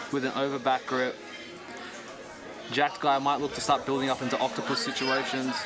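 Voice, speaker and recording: Amid crowd noise in the background and audible room echo, a man talks at a medium pitch and a fairly quick pace in a monotone, flat intonation, with long, frequent pauses. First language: not English. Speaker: grappling commentator. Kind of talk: live commentary.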